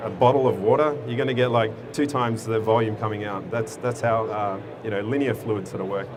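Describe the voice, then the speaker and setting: Amid audible room echo and noticeable background noise, a man with an Australian accent talks at a fairly quick pace with fairly even intonation. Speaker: software company director. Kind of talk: conference presentation. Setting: stage with audience at a conference. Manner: casual, with many fillers.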